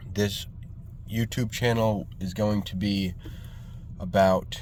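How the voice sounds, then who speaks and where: A man's fairly low voice with an American accent, ordinary pitch variation, a fairly slow pace and audible room echo. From New York State, Hudson Valley. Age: 20s. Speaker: vlogger, landscaping business owner. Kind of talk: casual vlog monologue. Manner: halting, many fillers.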